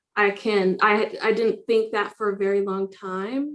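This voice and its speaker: The intonation is monotone and flat. The pace is fairly slow. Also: woman. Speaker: diversity, equity and inclusion advocate. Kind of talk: casual chat. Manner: loud.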